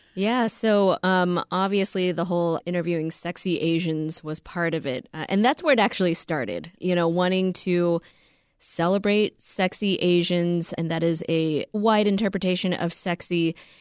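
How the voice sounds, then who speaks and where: A woman with a plain, everyday voice speaks at a moderate pace and fairly low pitch, her intonation fairly even and hardly any pauses, in a dry, close recording with no echo and a silent background that is very clean. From US, Korean American. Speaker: podcast co-host and reporter. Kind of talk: interview.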